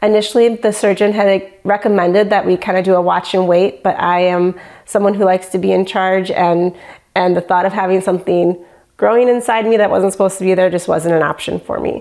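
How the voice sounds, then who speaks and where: With an American accent, a woman uses a normal speaking voice at a medium pitch, fairly even intonation, very even loudness and a fairly quick pace. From Michigan. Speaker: patient. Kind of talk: testimony.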